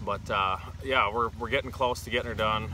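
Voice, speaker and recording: A man talks with a fairly low pitch. The sound is dry with no echo, though background noise is noticeable. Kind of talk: casual vlog chat. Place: open country. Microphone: phone near.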